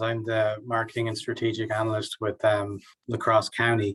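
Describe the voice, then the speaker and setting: A man speaks with an Irish accent at a moderate pace. His pitch sits in the medium range. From Ireland. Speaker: marketing analyst. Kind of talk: casual introduction.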